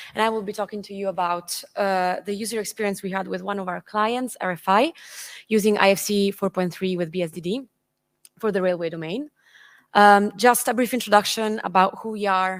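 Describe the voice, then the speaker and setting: A woman speaks with an Italian accent in a medium pitch at a moderate pace. Her intonation is fairly even, in a very clean recording over a silent background. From Italy. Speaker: engineering consultant. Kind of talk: conference presentation. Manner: halting.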